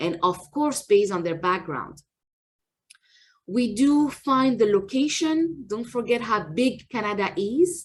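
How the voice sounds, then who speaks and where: A woman's fairly high, somewhat breathy voice at a fairly slow pace, with very wide pitch swings. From France, Paris. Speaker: immigration lawyer. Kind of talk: presentation.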